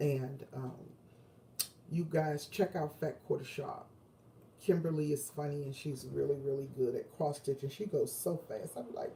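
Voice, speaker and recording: A woman's very deep, low voice, dark and mellow in tone and somewhat breathy, at a moderate pace with fairly even intonation. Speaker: quilting and crafts vlogger. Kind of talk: casual livestream chat. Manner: hesitant, many fillers.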